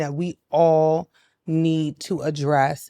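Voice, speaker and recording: In a very clean recording with a silent background, a woman with a New York accent speaks at a very deep, low pitch in a dark, mellow tone, the sound dry and close with no echo. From New York City (Brownsville, Brooklyn). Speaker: mental health advocate and business founder. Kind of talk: podcast interview.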